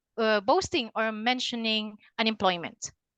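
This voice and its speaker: Speaking fairly slowly at a high pitch, a woman has a bright, sharp tone and ordinary pitch variation, recorded dry and close with no echo against a quiet background. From Philippines. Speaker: LinkedIn consultant. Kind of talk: webinar presentation. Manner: halting, many fillers.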